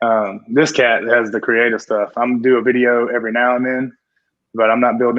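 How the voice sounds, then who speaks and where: A man speaks in a Southern US accent at a medium pitch and fairly quick pace, with monotone, flat intonation. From US South. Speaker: CrossFit athlete and coach. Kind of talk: casual chat.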